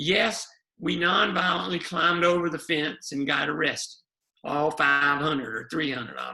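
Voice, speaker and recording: A man's fairly high, bright, sharp voice in a Southern US accent, with vocal fry and a fairly slow pace. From US South, South Carolina. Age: 70s. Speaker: lawyer and activist. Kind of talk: oral history interview.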